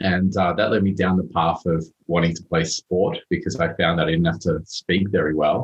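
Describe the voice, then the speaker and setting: A man with an Australian accent speaks at a very deep, low pitch. His delivery is somewhat breathy, with fairly even intonation. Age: 30s. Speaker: motivational speaker. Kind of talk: podcast interview.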